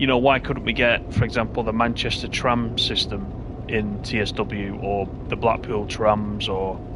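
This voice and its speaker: A man with a Lancashire accent talks at a moderate pace in a fairly low voice, with noticeable background noise and audible room echo. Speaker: gaming streamer. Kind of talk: live gameplay commentary chatting with viewers. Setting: live stream with headset. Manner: casual, conversational.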